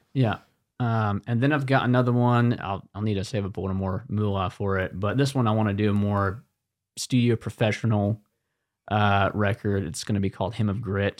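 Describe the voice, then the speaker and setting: Against a quiet background, a man speaks in a normal speaking voice, fairly low in pitch, at a moderate pace with fairly even intonation. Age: 20s. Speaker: singer-songwriter. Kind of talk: casual chat. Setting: studio.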